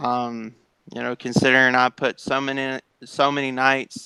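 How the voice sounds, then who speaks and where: A man with a Southern accent speaks at a very slow pace in a monotone, flat intonation. The sound is dry and close, with no echo. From Tennessee. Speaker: sim racing esports driver. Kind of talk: interview. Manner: halting, many fillers.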